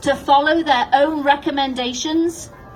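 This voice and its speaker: Over music in the background, a woman with a high-pitched voice speaks at a fairly slow pace with fairly even intonation. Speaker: nurse. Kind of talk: prepared public statement. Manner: confident, passionate.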